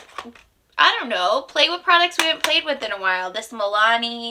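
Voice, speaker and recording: Noticeable background noise accompanies a woman whose fairly high pitch carries lively intonation and an animated tone. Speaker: beauty vlogger. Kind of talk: casual chat.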